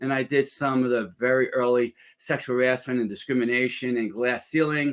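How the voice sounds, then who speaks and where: On a very clean recording with a silent background, the speaker uses a New York accent, a fairly quick pace and fairly even intonation. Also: man. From New York City. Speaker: former lawyer and entrepreneur. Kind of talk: interview.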